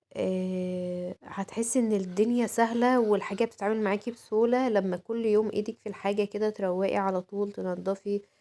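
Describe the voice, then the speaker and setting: A woman talks at a medium pitch and moderate pace. Her intonation is monotone and flat. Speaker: home vlogger. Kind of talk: home routine vlog. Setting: at home. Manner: casual, many fillers.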